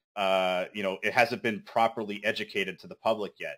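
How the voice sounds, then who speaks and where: Bright, sharp male speech on a very clean recording with a silent background. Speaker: crypto project team member. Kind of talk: community meeting update. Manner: fast.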